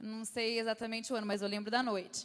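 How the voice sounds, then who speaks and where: A woman with a fairly high-pitched voice. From Brazil, Campinas. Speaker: guest speaker at church. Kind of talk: sermon. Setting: church. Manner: halting.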